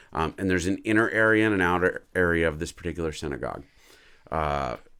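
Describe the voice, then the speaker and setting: Recorded very cleanly against a silent background, a man talks fairly quickly in a very deep, low voice with ordinary pitch variation. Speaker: pastor. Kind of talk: casual Bible history teaching on a livestream.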